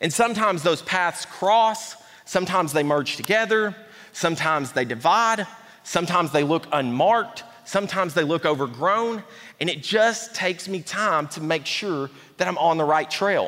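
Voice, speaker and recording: A man with an Appalachian accent talks at a moderate pace in a high voice with lively intonation. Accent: Southern US (Appalachian). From East Tennessee. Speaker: pastor. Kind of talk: sermon. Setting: church.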